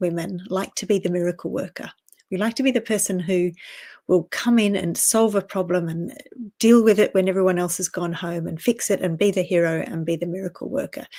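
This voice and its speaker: At a fairly quick pace, a woman speaks with an Australian accent in a dark, mellow tone, at a medium pitch with ordinary pitch variation, in a very clean recording with a silent background. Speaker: personal strategy coach. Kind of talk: casual vlog talk to camera. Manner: conversational with fillers.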